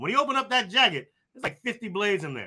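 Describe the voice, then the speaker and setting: A man speaks at a very fast pace in a bright, sharp tone. His pitch swings very widely. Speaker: sports podcast co-host. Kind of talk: casual sports banter. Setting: live video call.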